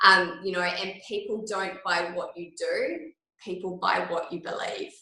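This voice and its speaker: Fairly slow speech from a woman with an Australian accent. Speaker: product trainer. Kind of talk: training talk.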